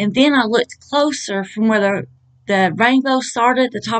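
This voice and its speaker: A woman's intonation stays fairly even, and the background is quiet. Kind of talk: casual vlog chat. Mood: awed, earnest. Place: home room. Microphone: webcam.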